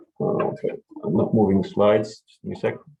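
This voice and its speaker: A man with a German accent at a fairly quick pace. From Germany. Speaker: pharma research scientist. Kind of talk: conference presentation.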